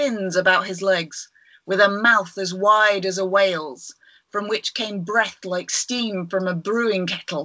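A natural reading voice with fairly even intonation, over a quiet background

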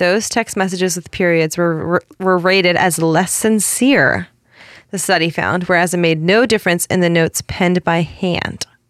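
A woman speaks in an unremarkable speaking voice, fairly low in pitch, at a moderate pace. Her intonation is fairly even, and the sound is dry and close with no echo. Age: 30s. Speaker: podcast co-host, publicist. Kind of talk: casual chat.

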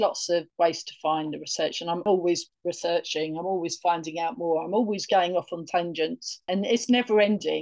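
In a London accent, the speaker talks at a moderate pace with ordinary pitch variation over a quiet background. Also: woman. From northeast London, England. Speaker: tour guide. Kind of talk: interview.

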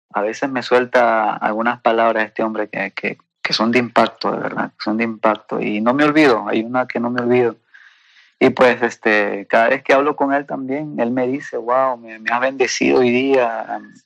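At a moderate pace, a man talks at medium pitch with fairly even intonation in a dry, close sound with no echo. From Peru. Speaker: testimony guest. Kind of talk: testimony. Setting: phone call. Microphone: WhatsApp call audio.

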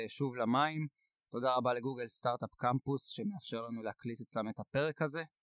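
A man's medium-pitched voice with ordinary pitch variation, in a dry, close sound with no echo. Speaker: podcast host. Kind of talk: scripted introduction; casual interview. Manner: fast.

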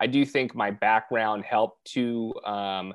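A man's medium-pitched voice shows ordinary pitch variation, delivered in an ordinary speaking voice. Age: 30s. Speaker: real estate investor. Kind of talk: podcast interview.

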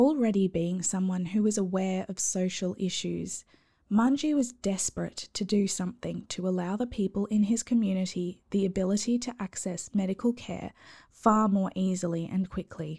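In a very clean recording with a silent background, a woman with an Australian accent speaks at a moderate pace and medium pitch, with ordinary pitch variation and a dark, mellow, somewhat breathy, calm and soothing tone. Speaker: podcast host. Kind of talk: scripted bedtime storytelling narration. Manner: calm, soothing.

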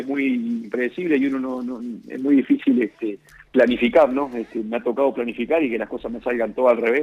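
Fairly quick speech from a man, medium in pitch, with fairly even intonation. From Uruguay. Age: 30s. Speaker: professional footballer. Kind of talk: interview. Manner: halting.

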